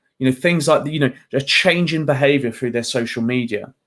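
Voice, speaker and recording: A man talks at a fairly quick pace. He has a southern English accent. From England, just outside London. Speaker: mental health trainer. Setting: video call. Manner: animated.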